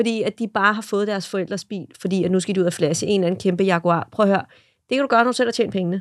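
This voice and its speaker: Talking at a very fast pace, a woman uses a medium pitch and ordinary pitch variation on a very clean recording with a silent background and a dry, close sound with no echo. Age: 30s. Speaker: social media content creator. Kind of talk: casual chat. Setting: studio.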